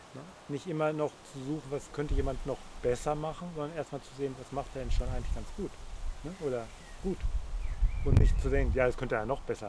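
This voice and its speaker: A man at a very fast pace, broken by long, frequent pauses, with big swings in loudness. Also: fairly high pitch for a man, ordinary pitch variation. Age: 60s. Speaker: interview guest. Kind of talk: casual interview conversation. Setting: outdoors in a garden.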